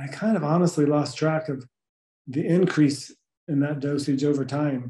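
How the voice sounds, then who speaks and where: Speaking at a moderate pace, a man uses a fairly high pitch with fairly even intonation and a dark, mellow, somewhat breathy tone. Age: 60s. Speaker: person with Parkinson's. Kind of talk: casual interview conversation.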